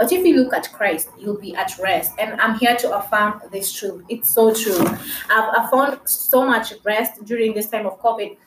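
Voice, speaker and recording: Fairly slow delivery with hardly any pauses, ordinary pitch variation, and noticeable background noise. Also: woman, fairly high pitch for a woman. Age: 20s. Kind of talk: faith-sharing monologue.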